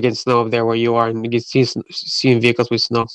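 A man speaks at a very fast pace. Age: 40s. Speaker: podcast host and mobile car detailer. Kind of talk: interview. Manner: halting.

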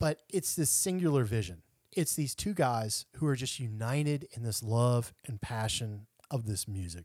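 Lively intonation marks a man's medium-pitched voice at a moderate pace. The recording is very clean, with a silent background. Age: 40s. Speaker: podcast host, bassist. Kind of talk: scripted narration; casual chat.

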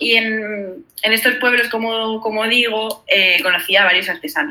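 Fairly high pitch and ordinary pitch variation in a woman's an unremarkable speaking voice. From Spain, Granada. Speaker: traveler. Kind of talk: casual chat. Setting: video call.

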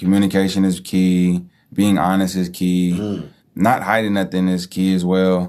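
In a Bay Area accent, a man with a very deep, low pitch and a dark, mellow tone talks at a moderate pace with monotone, flat intonation. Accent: Bay Area American. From Hayward, Bay Area. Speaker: mentee, aspiring entrepreneur. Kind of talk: interview.

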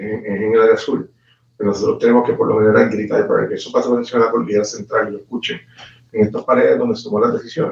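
With a Puerto Rican accent, a man talks at a very fast pace. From Puerto Rico, Guayanilla. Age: 40s. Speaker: politician. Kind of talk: interview. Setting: live stream. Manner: halting.

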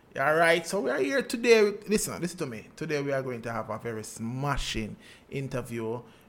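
The speaker is a man with a fairly high pitch. His intonation is lively. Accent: Jamaican. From Jamaica. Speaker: podcast host. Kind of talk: casual interview.

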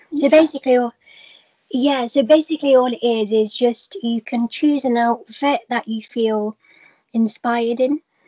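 A woman's high voice with a dark, mellow tone, ordinary pitch variation and a moderate pace, recorded dry and close with no echo. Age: 20s. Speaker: pageant queen. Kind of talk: interview. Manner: hesitant with many fillers.

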